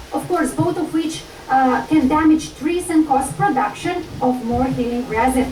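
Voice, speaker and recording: Over noticeable background noise and audible room echo, a woman speaks high and fairly slowly with lively intonation and a strong Slovenian accent. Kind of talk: lecture.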